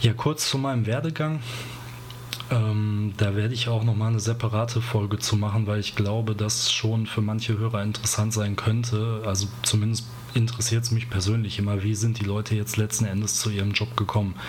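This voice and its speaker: A man speaks at a fairly quick pace in a fairly low, monotone voice with flat intonation and very even loudness. Audible room echo and noticeable background noise surround him. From Ruhr area, Germany. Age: 30s. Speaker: podcast host and graphic designer. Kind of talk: solo podcast monologue. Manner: casual, with frequent fillers.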